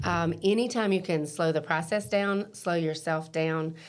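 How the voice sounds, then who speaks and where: Here is a woman with a plain, everyday voice, pitched fairly low. She speaks at a moderate pace with ordinary pitch variation. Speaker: real estate broker. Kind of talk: podcast interview. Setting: in person.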